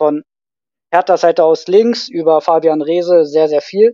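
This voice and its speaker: In a dry, close sound with no echo, a man speaks at a moderate pace with a high pitch and a dark, mellow tone. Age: 30s. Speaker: youth football scout and teacher. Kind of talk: casual chat. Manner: hesitant, many filler sounds.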